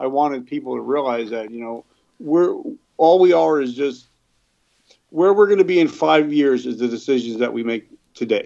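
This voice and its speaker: Speaking in a New Jersey accent at a fairly quick pace, a man has a fairly high pitch, ordinary pitch variation and a dark, mellow tone. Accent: New Jersey American. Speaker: recovered addict and business owner. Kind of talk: interview, personal testimony. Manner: halting, many fillers.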